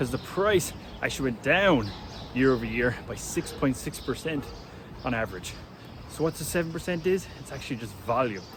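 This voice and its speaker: A man with an Irish accent speaks at a medium pitch and a fairly quick pace, with lively intonation and long, frequent pauses. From Ireland. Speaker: real estate agent. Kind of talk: casual market update vlog. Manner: casual.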